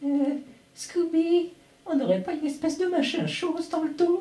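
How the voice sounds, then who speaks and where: A man uses a cartoonish character voice with a whiny tone at an extremely high pitch, speaking at a moderate pace. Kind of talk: impression of a French cartoon dub. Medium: fan dub. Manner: jittery, whiny.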